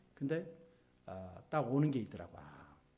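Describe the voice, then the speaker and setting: Medium in pitch, this man's voice has a dark, mellow tone and is somewhat breathy. It moves through very wide pitch swings, with audible room echo. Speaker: pastor. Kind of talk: sermon. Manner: stiff, hard-edged delivery; emphatic, not soft-spoken.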